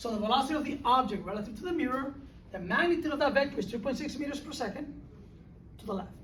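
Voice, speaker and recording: Noticeable background noise is present. The words come very fast. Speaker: physics professor. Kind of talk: lecture.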